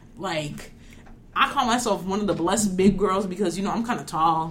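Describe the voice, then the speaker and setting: At a moderate pace, a woman with a New York accent speaks somewhat breathily at medium pitch, with ordinary pitch variation. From New York suburbs. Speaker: podcast co-host, college student.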